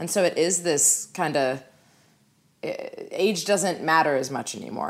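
Heard in a very clean recording with a silent background, a woman talks with an American accent. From Los Angeles. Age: 20s. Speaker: writer, director and actress. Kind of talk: casual chat.

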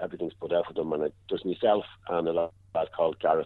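A man speaks with a Dublin accent. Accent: Dublin Irish. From Dublin, Ireland. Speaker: football kit man. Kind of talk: casual interview.

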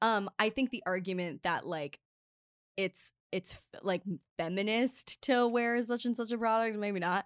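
A woman with a normal speaking voice and an American accent speaks at a fairly slow pace with ordinary pitch variation. The recording is very clean with a silent background, its sound dry and close with no echo. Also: fairly high pitch for a woman. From US Mid-Atlantic (Maryland). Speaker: linguist and author. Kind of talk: casual interview chat. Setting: studio. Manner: talkative, frequent 'like' and 'um' fillers.

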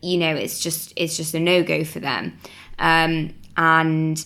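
A woman with a Mancunian accent talks fairly slowly in a fairly low, monotone voice with flat intonation. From Manchester, northern England. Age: 20s. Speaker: startup co-founder. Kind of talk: casual interview.

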